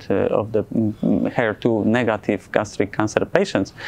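A man speaks at a fairly slow pace in a fairly low voice with vocal fry, a slightly mellow tone and fairly even intonation over faint background noise.

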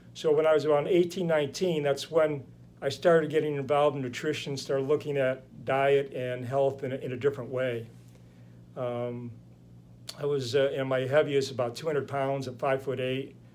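With an American accent, a man talks at a fairly quick pace in a fairly high pitch, his intonation monotone and flat over light background noise. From United States. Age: 60s. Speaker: chiropractor. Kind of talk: interview. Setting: podcast. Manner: halting. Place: home room.

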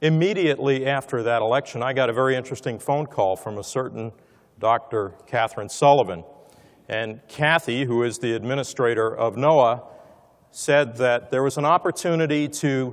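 A man's pitch varies in an ordinary way while the background stays quiet. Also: moderate pace. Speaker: conference speaker. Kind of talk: speech. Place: hall. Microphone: lapel.

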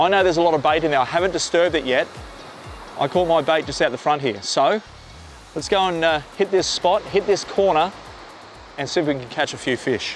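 A man talks at a fairly quick pace with ordinary pitch variation, the sound dry with no echo and music in the background. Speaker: fishing show host. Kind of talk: tutorial. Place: beach. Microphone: lapel.

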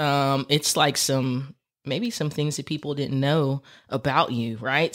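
The pace is fairly slow, with an American accent. The recording is very clean, and the background is silent. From Texas. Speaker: podcast host. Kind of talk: casual chat. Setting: studio.

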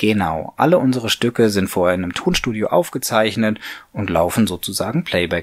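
Fairly quick and with lively intonation, a man talks at a fairly low pitch. His is an ordinary speaking voice. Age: 40s. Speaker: puppeteer, mechatronics engineer. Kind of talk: interview answer.

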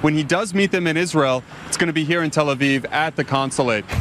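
Through light background noise, a man talks at a very fast pace with ordinary pitch variation. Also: dry sound with no echo. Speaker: news anchor. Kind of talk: international news analysis.

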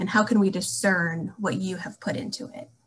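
Her intonation lively, a woman speaks at a moderate pace. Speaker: alumni relations staff, moderator; moderator. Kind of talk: panel moderation. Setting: video call. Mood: friendly, warm. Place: home room. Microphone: webcam.

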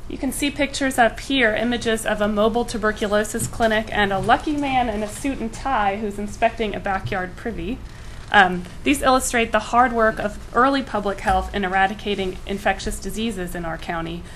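A woman's fairly high voice at a fairly quick pace, with hardly any pauses, ordinary pitch variation and noticeable background noise. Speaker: public health worker. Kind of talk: formal presentation. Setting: county commissioners meeting room.

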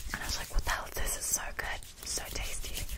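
A soft-spoken woman talks at a fairly quick pace. Loud background noise runs behind her. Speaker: ASMR creator. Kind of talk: casual soft-spoken chat. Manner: soft close-mic ASMR ramble. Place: home room. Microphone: studio mic.

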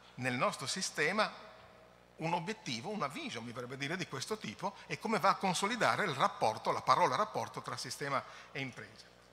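Talking at a very fast pace, a man with a fairly high pitch makes very wide pitch swings. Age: middle-aged. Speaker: environmental agency technical director; conference presenter. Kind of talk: conference presentation. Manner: halting. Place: hall. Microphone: podium.

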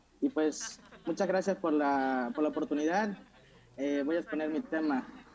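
A man talks at a moderate pace with lively intonation. Light background noise sits behind him. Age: 20s. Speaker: youth parliament candidate; candidate. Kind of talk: formal speech. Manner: halting, with self-corrections. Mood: earnest, slightly nervous. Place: home room. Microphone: earbuds.

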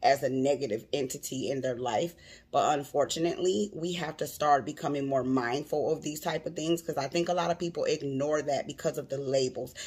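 A woman talks at a fairly quick pace with hardly any pauses. Her pitch is very deep and low, with ordinary variation. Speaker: vlogger commenting on a clip. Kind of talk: casual vlog chat. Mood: earnest, personal. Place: home room. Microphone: phone near.

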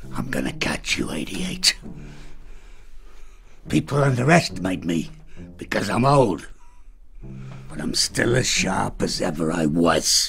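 A man with a very deep, low pitch and very wide pitch swings, at a fairly slow pace with long, frequent pauses, over clear background noise. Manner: suspicious, grumbling.

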